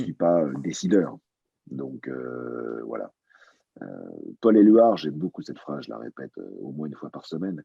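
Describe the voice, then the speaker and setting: At a moderate pace, a man with a very deep, low pitch and a dark, mellow tone uses lively intonation, leaving long, frequent pauses. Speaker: voice actor; stage and film actor. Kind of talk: interview answer.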